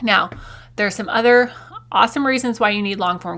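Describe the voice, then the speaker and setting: Over noticeable background noise, a woman with an American accent speaks at a fairly quick pace with ordinary pitch variation. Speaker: podcast host. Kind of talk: podcast monologue. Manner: casual.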